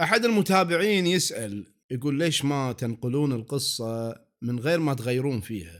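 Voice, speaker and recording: With a Kuwaiti accent, a man speaks at a fairly high pitch with very wide pitch swings and hardly any pauses, in a very clean recording with a silent background. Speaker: storyteller. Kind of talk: casual talk to listeners. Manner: calm, soothing.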